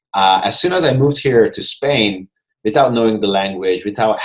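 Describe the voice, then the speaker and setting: Fairly quick speech from a man with a Hungarian accent. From Hungary, Budapest. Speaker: mindfulness coach. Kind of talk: interview.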